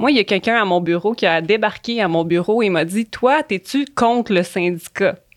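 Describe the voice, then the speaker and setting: A woman speaks at a moderate pace in a plain, everyday voice. Her medium pitch shows ordinary variation. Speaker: public servant, union youth committee member. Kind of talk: casual chat.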